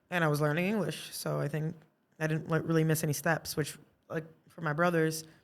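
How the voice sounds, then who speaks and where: This woman has a Portuguese accent and a very deep, low voice. She talks at a fairly quick pace. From Brazil, moved to Massachusetts (Brockton) around age seven. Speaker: artist. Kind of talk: casual podcast interview. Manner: talkative, animated.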